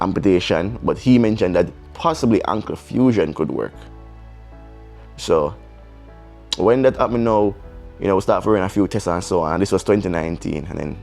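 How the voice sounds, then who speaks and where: With music in the background, a man with a very deep, low voice speaks at a fairly quick pace with lively intonation and long, frequent pauses. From Jamaica. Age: young. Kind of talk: casual storytime talk to camera.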